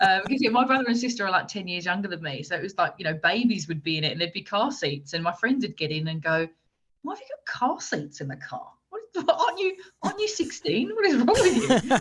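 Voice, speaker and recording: A somewhat breathy woman in an English accent at a very fast pace, with very wide pitch swings and big swings in loudness. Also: medium pitch for a woman. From England, Essex. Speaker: motorsport media presenter. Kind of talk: podcast interview. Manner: animated.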